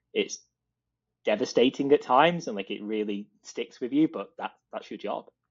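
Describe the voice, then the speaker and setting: Speaking at a moderate pace with a British accent, a man shows big swings in loudness. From Britain. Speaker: design leader. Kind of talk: interview.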